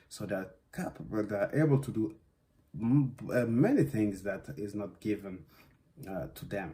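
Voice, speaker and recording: A man speaks at a fairly slow pace with a fairly low pitch, a somewhat breathy voice, lively intonation, and long, frequent pauses. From West Africa (Guinea, Senegal) and Belgium. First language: Susu / French. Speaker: dance artist. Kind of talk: interview monologue. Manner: halting, many fillers.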